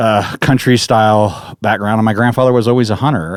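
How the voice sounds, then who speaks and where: A man speaks with a fairly low pitch and an American accent. The recording is very clean and dry, with a silent background and no echo. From North Central California. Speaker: archery equipment inventor and engineer. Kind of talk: casual interview chat. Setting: studio. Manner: halting, many fillers.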